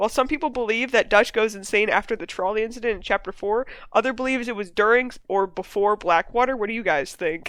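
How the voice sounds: The clip is read in a natural reading voice.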